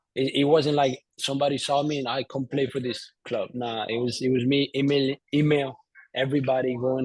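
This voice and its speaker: A man at medium pitch, moderate pace and in a flat monotone. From Colombia, Bogotá. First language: Spanish. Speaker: entrepreneur, former soccer player. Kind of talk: interview. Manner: halting, many fillers and repeats.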